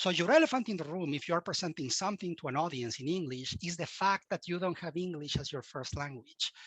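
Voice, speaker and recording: With hardly any pauses, a man with a high pitch talks at a very fast pace in a dry, close recording with no echo and a quiet background. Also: ordinary pitch variation. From Mexico. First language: Spanish. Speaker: cybersecurity expert and university instructor. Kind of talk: podcast interview.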